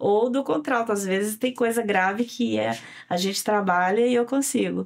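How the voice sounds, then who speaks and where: A woman talks at a moderate pace with a fairly high pitch and ordinary pitch variation. Her loudness stays very even. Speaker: singer and cultural producer. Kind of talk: interview conversation. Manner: halting.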